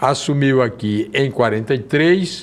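A man speaks with lively intonation. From Brazil, Rio Grande do Norte (Seridó region); Rio Grande do Norte, Brazil. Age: 80s+. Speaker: retired politician. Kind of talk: interview. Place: studio. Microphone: lapel.

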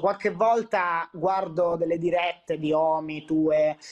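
The background is quiet as a man speaks at a high pitch and very slow pace. His loudness stays very even. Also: hardly any pauses. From Calabria, southern Italy (Catanzaro). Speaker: content creator. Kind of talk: casual chat. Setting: video call. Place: home room. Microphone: video call.

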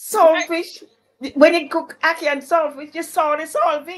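A woman at a moderate pace with an extremely high pitch and fairly even intonation. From Jamaica. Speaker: cultural commissioner. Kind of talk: casual chat. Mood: warm, reminiscing. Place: home room. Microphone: video call.

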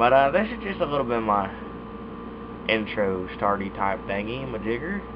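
There is noticeable background noise while a man talks with lively intonation. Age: young. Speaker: YouTuber reviewing dip tobacco. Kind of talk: casual vlog monologue. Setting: recording alone at webcam. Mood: relaxed, laid-back. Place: home room. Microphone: webcam.

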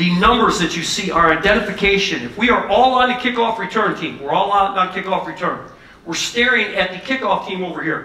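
A man speaks in a raised, projected voice at a fairly quick pace. His pitch varies in an ordinary way, and audible room echo surrounds it. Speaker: football coach presenter. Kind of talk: lecture. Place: hall.

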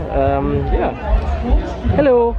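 Noticeable background noise behind a man's dry voice with no echo. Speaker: vlogger. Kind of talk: casual vlog chat. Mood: cheerful, laughing. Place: market. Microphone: phone near.

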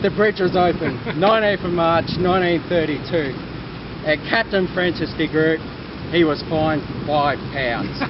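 Noticeable background noise behind a man's dry, echo-free voice. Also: ordinary pitch variation, moderate pace. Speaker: walking tour guide. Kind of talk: storytelling tour talk. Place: street. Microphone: camera far.

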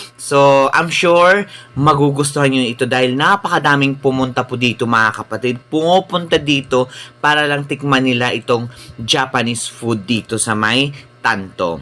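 Over noticeable background noise, a man speaks at a moderate pace and medium pitch, with ordinary pitch variation. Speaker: travel and food vlogger. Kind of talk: vlog narration. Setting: outdoors at open-air restaurant. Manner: casual, filler-heavy.

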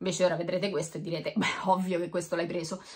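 The woman's tone is animated. The background stays quiet. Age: 40s. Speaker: YouTuber. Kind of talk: unboxing video monologue. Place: home room. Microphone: camera far.

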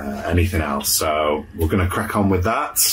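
A man speaks at a moderate pace with a very deep, low pitch. Light background noise can be heard. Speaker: van build vlogger. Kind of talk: casual vlog chat. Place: car. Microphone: phone near.

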